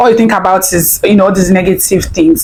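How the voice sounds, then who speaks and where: With a Nigerian accent, a woman talks in an animated tone over noticeable background noise. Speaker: reaction video commentator. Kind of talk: casual reaction commentary.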